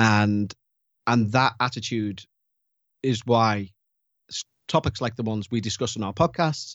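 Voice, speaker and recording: This man speaks with a Liverpool accent at a moderate pace. His pitch is fairly low. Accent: Scouse (Liverpool). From Liverpool, England. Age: 40s. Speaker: paranormal podcast host. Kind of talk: casual interview chat.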